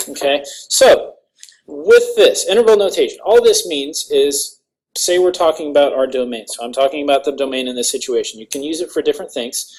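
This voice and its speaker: The loudness of a man's fairly quick speech swings in big ways. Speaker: math teacher. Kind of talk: video lesson. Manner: fast; animated.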